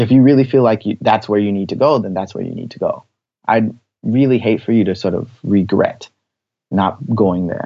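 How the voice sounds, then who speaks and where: A man with an American accent has an unremarkable speaking voice at a medium pitch. He talks at a moderate pace with ordinary pitch variation. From US, Washington D.C. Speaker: actor and playwright. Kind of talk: interview.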